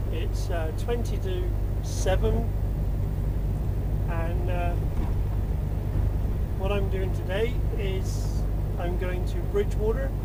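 A man at a very slow pace, long, frequent pauses, loud background noise. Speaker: truck driver vlogger. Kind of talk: casual vlog chat. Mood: relaxed, cheerful. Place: car.

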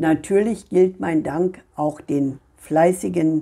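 In a very clean recording with a silent background, a woman with a fairly low pitch, ordinary pitch variation and vocal fry has a dark, mellow tone. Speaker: tarot card reader. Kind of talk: monologue reading cards for viewers. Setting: home video recording.

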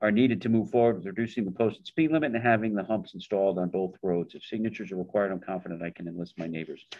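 Against a quiet background, the speech rushes at a very fast pace with hardly any pauses and big swings in loudness. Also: man, fairly low pitch for a man, ordinary pitch variation. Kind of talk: meeting discussion, reading a letter aloud. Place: meeting room. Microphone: video call.

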